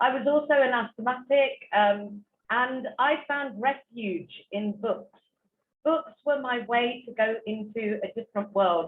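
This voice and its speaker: With a British accent, a woman talks at a fairly slow pace, her high pitch showing ordinary variation. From England. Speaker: author and speaker. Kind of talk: talk to online audience. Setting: online virtual event. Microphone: poor internet connection.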